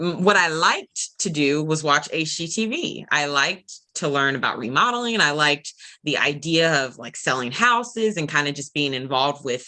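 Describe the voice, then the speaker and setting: A woman with an American accent speaks at a very deep, low pitch in a bright, sharp tone, with lively intonation and a moderate pace. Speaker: property management regional manager. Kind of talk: interview. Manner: halting.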